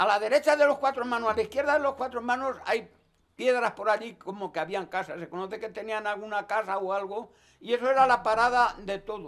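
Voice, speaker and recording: A man with an extremely high pitch talks at a fairly quick pace, with ordinary pitch variation. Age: 80s+. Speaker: forest worker, resin tapper. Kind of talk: interview answer.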